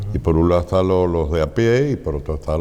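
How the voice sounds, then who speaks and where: A man talks with a very deep, low voice, keeping a moderate speed and ordinary pitch movement. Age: 70s. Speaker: flamenco society president. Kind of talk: interview.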